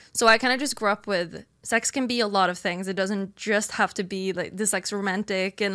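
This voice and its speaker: A woman speaks with medium pitch and ordinary pitch variation. Her tone is bright and sharp, on a very clean recording with a silent background. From Sweden. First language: Swedish. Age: 20s. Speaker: streamer. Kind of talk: casual debate interview.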